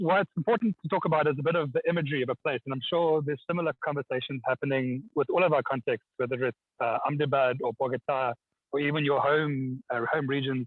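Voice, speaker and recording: With a strong South African accent, a man rattles along at a very fast pace, his fairly high pitch varying in an ordinary way. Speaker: architect and community engagement practitioner. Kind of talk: online presentation. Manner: hesitant, many fillers and repetitions.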